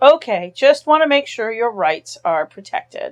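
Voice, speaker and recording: Using a put-on character voice, a woman speaks in a high pitch at a moderate pace. Her pitch swings very widely. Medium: read story. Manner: sarcastic, joking.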